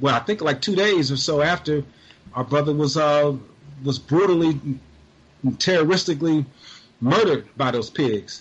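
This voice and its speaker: Somewhat breathy, a man with a fairly high pitch speaks with ordinary pitch variation and long, frequent pauses. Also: moderate pace. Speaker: guest activist, media campaigner. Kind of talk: interview about current events.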